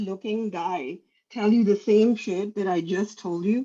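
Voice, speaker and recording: Her voice is a woman's, dark and mellow in tone, fairly high in pitch, with ordinary pitch variation and a moderate pace. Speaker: doctor. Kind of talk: casual chat. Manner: halting.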